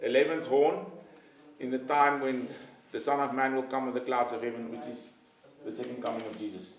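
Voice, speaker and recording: There is noticeable background noise and audible room echo. Through it, a man talks at a medium pitch and a fairly quick pace. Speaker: bible college lecturer. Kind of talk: lecture. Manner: fast.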